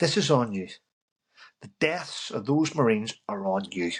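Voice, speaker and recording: A man speaks with a Northern Irish accent. His pitch swings very widely. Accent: Northern Irish (Belfast). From Northern Ireland, Belfast. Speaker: army veteran. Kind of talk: casual interview chat.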